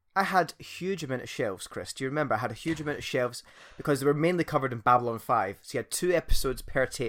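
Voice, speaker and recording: Speaking very fast with a Scottish accent, a man uses a fairly high pitch and ordinary pitch variation. The recording is very clean, with a silent background. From Scotland. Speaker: podcast host. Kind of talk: casual chat.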